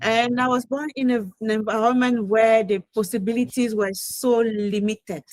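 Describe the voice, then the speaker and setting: A woman speaks with a French accent at a fairly high pitch and fairly even intonation. Her pace is moderate, with hardly any pauses. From Cameroon. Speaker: online business entrepreneur. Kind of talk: interview testimony. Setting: video call.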